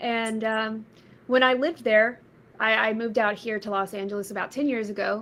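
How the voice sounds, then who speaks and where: A woman talks in a plain, everyday voice with an American accent, pitched fairly high. She moves at a fairly quick pace with fairly even intonation. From Texas, Red Oak south of Dallas. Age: 30s. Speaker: musician. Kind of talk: interview. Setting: live stream.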